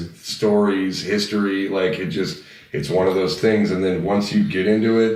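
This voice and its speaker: Audible room echo colors the voice of a man speaking at a fairly low pitch. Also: moderate pace. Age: 30s. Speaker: metal band vocalist. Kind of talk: casual chat. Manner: animated.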